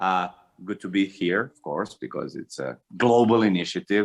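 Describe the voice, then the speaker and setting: A man speaks at a moderate pace in a very deep, low voice with vocal fry. The recording is very clean, with a silent background. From former Yugoslavia, Montenegro/Serbia/Bosnia. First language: Serbo-Croatian. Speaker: stand-up comedian. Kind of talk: stand-up. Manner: halting with fillers.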